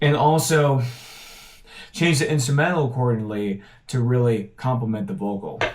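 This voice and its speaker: With long, frequent pauses, a man speaks at a medium pitch in a somewhat breathy voice, with audible room echo around him. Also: moderate pace. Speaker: independent musician vlogger. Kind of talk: casual vlog talk. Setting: home apartment studio. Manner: casual with fillers and false starts.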